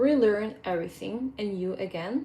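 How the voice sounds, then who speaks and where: A woman with a Ukrainian accent, medium in pitch. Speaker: fitness coach. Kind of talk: casual vlog update. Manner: hesitant, with fillers.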